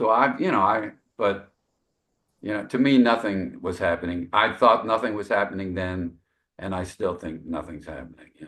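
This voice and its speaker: At a moderate pace, a man speaks in a fairly low, bright, sharp voice with ordinary pitch variation and big swings in loudness. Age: 60s. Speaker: jazz saxophonist. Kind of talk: casual interview. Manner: halting, many fillers.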